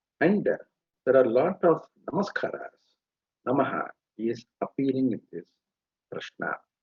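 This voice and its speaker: A somewhat breathy man talks at a fairly slow pace, leaving long, frequent pauses. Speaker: Veda scholar. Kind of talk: lecture. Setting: live webinar.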